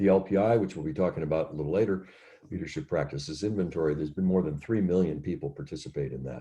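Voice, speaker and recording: A man's very deep, low voice with vocal fry, a dark, mellow tone and ordinary pitch variation. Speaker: leadership facilitator. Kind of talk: workshop presentation.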